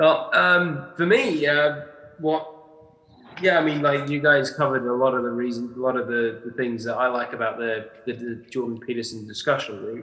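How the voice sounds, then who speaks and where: Pitch moves in an ordinary way while noticeable background noise and audible room echo fill the recording. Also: man, medium pitch for a man, moderate pace. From Canada, Ontario (Niagara-on-the-Lake). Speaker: discussion group participant. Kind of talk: casual chat. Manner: halting, many fillers.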